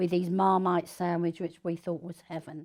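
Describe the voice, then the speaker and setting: A woman at a moderate pace, fairly low in pitch, in a very clean recording with a silent background. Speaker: wartime evacuee recalling childhood. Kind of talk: oral history interview.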